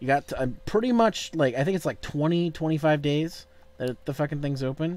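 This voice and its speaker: This is a normal speaking voice. It moves at a moderate pace with ordinary pitch variation. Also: man, fairly high pitch for a man. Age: 30s. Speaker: gaming streamer. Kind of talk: casual chat. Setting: video call.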